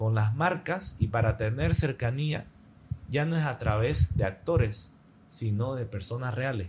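This man's voice is somewhat breathy, with lively intonation. He talks at a fairly slow pace. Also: medium pitch for a man. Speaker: advertising professional and content creator. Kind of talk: casual interview chat.

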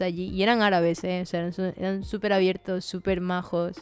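Against music in the background, a woman speaks at a medium pitch and a moderate pace. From Venezuela. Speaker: graphic designer. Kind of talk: casual chat.

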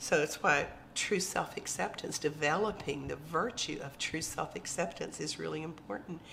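At a moderate pace and with hardly any pauses, a woman speaks in a very deep, low pitch with ordinary pitch variation over noticeable background noise. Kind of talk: teaching talk.

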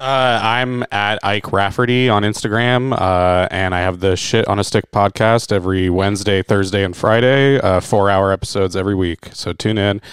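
A man with an American accent and an unremarkable speaking voice, at a fairly low pitch, a moderate pace, fairly even intonation, and hardly any pauses. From Florida. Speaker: comedian. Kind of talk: casual chat.

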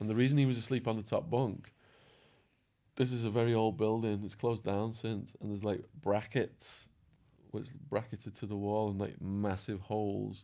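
A man with an English accent, a dark, mellow tone and a fairly low pitch, speaking at a moderate pace with fairly even intonation. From England. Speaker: true crime youtuber and former drug trafficker. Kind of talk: casual interview chat.

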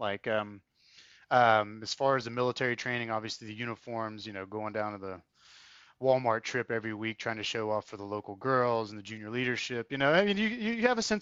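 This man speaks at a very fast pace in a North Carolina accent. His pitch sits in the medium range. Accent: US Southern (North Carolina). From North Carolina, Triad area. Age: 30s. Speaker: military academy alumnus. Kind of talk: interview. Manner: halting.

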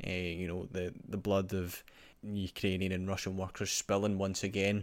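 Speaking with a Scottish accent, a man keeps a fairly low pitch, moderate pace and monotone, flat intonation on a very clean recording with a silent background. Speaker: podcast host. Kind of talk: scripted narration; casual chat.

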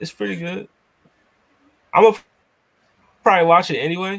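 A man speaks with a Philadelphia accent at a fairly quick pace. His intonation is lively. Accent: Philadelphia American. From US, Philadelphia. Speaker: podcast host, guest. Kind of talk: casual chat. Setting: video call.

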